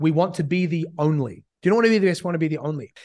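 Against a quiet background, a man with an American accent talks at a very fast pace in a fairly high pitch. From New Zealand. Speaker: business coach. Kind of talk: casual interview.

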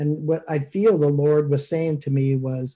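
This man's voice sits at a fairly high pitch and is somewhat breathy. His tone is dark and mellow. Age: 60s. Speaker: minister leading online service. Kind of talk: casual chat. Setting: video call.

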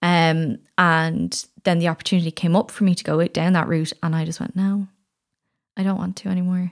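In a dry, close sound with no echo, a woman with an unremarkable speaking voice talks at a moderate pace in a fairly low pitch with fairly even intonation. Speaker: sex and relationship coach. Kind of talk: casual interview chat.

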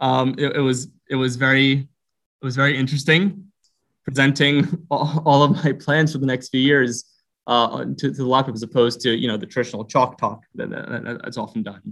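A man's medium-pitched voice, with ordinary pitch variation, proceeds at a moderate pace. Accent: American. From US Northeast, Philadelphia (Roxborough). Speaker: virology PhD student. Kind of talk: interview. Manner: halting, frequent repetitions.

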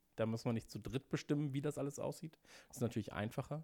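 A man talks very fast with ordinary pitch variation. The recording is very clean and silent behind him, with a dry, close sound and no echo. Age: 30s. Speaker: podcast producer and marketer. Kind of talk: casual interview chat. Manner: hesitant, many filler sounds.

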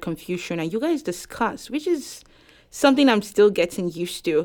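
In a very clean recording with a silent background, a woman of medium pitch speaks with a Nigerian accent and lively intonation. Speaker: law student. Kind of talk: interview.

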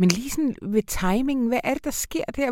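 A woman's dark, mellow voice with lively intonation at a moderate pace, in a very clean recording with a silent background. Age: 40s. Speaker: literary critic. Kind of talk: literary discussion.

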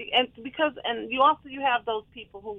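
An unremarkable speaking voice with an American accent moves at a fairly quick pace, its pitch varying in an ordinary way. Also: woman. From Detroit, Michigan. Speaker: playwright and stage producer. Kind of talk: interview.

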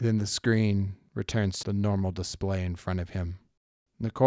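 Unforced reading voice, intonation fairly even, background quiet

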